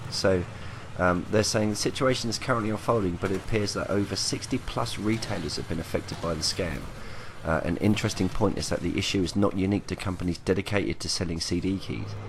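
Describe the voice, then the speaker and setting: A man speaks quietly and very fast, with a fairly low pitch and ordinary pitch variation. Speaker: gaming youtuber. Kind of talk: casual commentary vlog.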